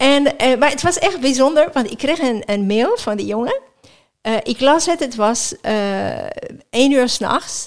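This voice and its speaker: Woman's high-pitched voice at a fairly slow pace. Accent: non-native. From France, near Geneva. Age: 50s. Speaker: sports chaplain. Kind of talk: interview. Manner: halting.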